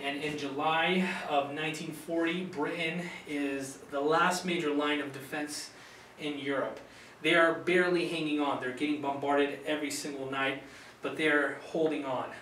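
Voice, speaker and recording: Against light background noise and audible room echo, a man with a fairly high voice speaks at a moderate pace in a flat monotone. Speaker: university student. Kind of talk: recorded class presentation. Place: classroom. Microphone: camera far.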